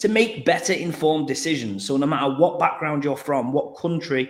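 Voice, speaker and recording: Fairly quick in pace, a man with an English accent speaks at a fairly high pitch. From England. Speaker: crypto company marketing executive. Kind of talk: livestream panel interview.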